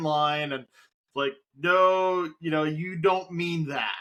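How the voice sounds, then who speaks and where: A man speaks at a high pitch and a very slow pace. His tone is bright and sharp, with fairly even intonation. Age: 40s. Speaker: talk show host. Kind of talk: casual chat. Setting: home studio, live stream.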